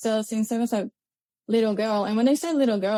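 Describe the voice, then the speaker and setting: A woman with a Chilean accent speaks at a fairly high pitch with a dark, mellow tone. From Chile, Santiago. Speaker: grid connections engineer. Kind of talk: podcast interview.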